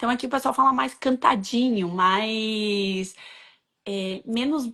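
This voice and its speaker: A woman speaks at a very slow pace with a fairly high pitch and a bright, sharp tone. Her pitch variation is ordinary, and the background is quiet. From Rio Grande do Sul, southern Brazil. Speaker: co-host, interviewer. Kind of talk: casual conversation.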